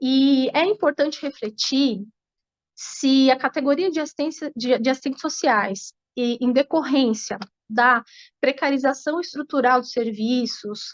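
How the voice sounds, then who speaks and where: A woman talks at a fairly slow pace in a high voice with ordinary pitch variation. The sound is dry and close with no echo, over a quiet background. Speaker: panelist speaking on social work practice. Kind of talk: online panel talk.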